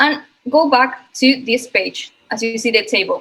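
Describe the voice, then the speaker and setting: A woman speaks at a fairly slow pace in a high voice. Her tone is bright and sharp. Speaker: software product presenter. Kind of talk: product demo webinar. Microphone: connectivity issues.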